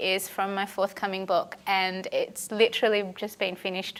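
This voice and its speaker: Her intonation is monotone and flat. The woman speaks in an Australian accent at a medium pitch. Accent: thick Australian. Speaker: historian. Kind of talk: lecture.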